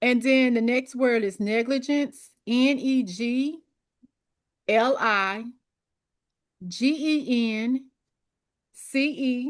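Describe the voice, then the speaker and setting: A woman with a Memphis accent speaks at a very slow pace in a high voice, with long, frequent pauses. Her loudness is very even and her intonation fairly even. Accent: Southern US (Memphis). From US South. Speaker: exam prep coach. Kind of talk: online study group session.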